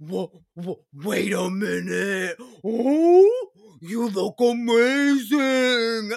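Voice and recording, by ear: A man puts on a character voice pitched extremely high. He speaks at a very slow pace.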